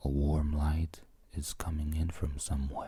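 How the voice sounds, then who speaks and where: A soft-spoken voice at a very slow pace. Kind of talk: ASMR bedtime story narration. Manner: soft-spoken, relaxing.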